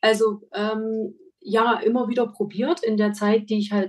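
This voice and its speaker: At a fairly slow pace, a woman with a fairly high pitch speaks in an unremarkable speaking voice. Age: 40s. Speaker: make-up artist and photographer. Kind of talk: interview.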